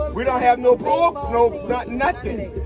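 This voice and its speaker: A man talks at a moderate pace. There is music behind him. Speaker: hurricane survivor. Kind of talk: testimony. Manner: emotional, halting.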